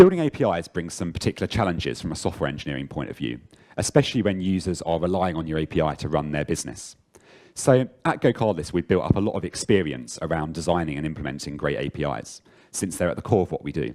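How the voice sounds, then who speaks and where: In an English accent, a man with a very deep, low pitch talks very fast, his dark, mellow tone marked by vocal fry and lively intonation. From London, England. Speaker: software engineer, conference speaker. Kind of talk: conference talk. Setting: stage with audience.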